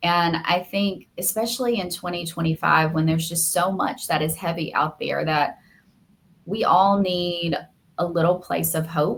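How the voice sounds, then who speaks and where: With a Southern US accent, a woman speaks at a moderate pace in a fairly low, somewhat breathy voice, her intonation fairly even. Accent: Southern American. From US South, Alabama. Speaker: media lawyer and podcaster. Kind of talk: interview. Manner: heartfelt, earnest.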